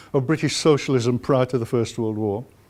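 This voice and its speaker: In a Yorkshire accent, a man speaks at a moderate pace on a very clean recording with a silent background. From northern England, Huddersfield (West Yorkshire). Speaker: historian. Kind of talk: lecture.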